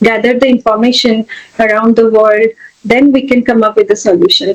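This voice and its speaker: This woman has an Indian accent and a high pitch. Her pitch moves with ordinary variation. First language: an Indian language, not English. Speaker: educator and technologist. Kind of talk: interview. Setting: podcast. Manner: hesitant, many fillers.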